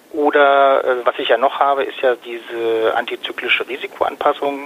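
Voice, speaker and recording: A man talks at a moderate speed while noticeable background noise continues. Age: 40s. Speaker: fund advisor and trader. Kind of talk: interview.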